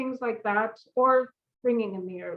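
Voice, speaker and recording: Loud and at a fairly slow pace, a woman with a Canadian accent speaks with ordinary pitch variation. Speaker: audiologist. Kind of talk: informative presentation. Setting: video call. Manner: animated.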